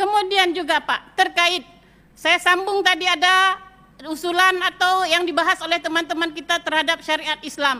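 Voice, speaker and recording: In a raised, projected voice, a woman speaks at an extremely high pitch with a bright, sharp tone, very even loudness, monotone, flat intonation and a moderate pace. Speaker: provincial legislator. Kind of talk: parliamentary speech. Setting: parliament plenary chamber. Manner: impassioned.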